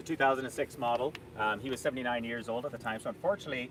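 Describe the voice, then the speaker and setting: At a very fast pace, a man with a Canadian accent speaks at a medium pitch with ordinary pitch variation, over noticeable background noise. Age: 60s. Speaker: company executive. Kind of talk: casual interview.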